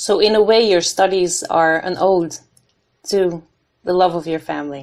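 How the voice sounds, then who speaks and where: With a Dutch accent, a woman speaks at a moderate pace and a fairly low pitch. Her intonation stays fairly even. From Netherlands. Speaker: podcast host, PhD candidate. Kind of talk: interview. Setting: online call from home.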